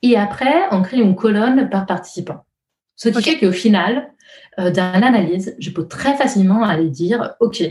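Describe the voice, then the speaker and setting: A woman with a somewhat breathy, dark, mellow tone speaks at a moderate pace with ordinary pitch variation. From Italy. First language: Italian (speaking French). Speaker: user researcher. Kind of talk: interview. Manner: halting; melodic.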